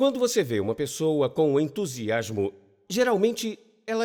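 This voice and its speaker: This man talks at a moderate pace with a fairly high pitch and very wide pitch swings, on a very clean recording with a silent background. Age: 60s. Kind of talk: lecture. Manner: animated.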